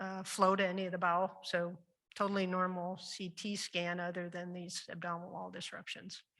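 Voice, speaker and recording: At a fairly quick pace, a woman with a Midwestern US accent speaks in a fairly low, monotone, flat voice. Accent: US Midwest. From Iowa. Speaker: surgeon, panel moderator. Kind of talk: case presentation panel discussion.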